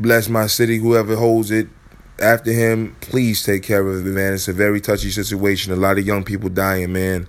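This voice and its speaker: A man's fairly low voice holds a monotone, flat intonation at a moderate pace. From Chicago. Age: 30s. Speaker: podcast host. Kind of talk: casual monologue. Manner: laid-back.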